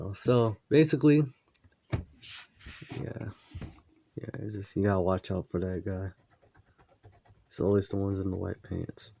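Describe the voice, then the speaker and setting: A somewhat breathy, dark, mellow voice with ordinary pitch variation and long, frequent pauses, in a dry, close sound with no echo. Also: man, fairly low pitch for a man, moderate pace, big swings in loudness. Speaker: artist drawing silhouette art. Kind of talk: casual live drawing commentary. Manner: halting, with fillers and repeats; slight speech difficulty.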